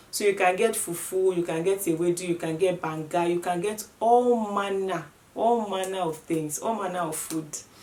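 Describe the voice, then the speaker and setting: Hardly pausing, a woman with a Nigerian accent talks at a moderate pace and medium pitch with fairly even intonation, over noticeable background noise. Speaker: vlogger. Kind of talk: casual vlog talk to camera.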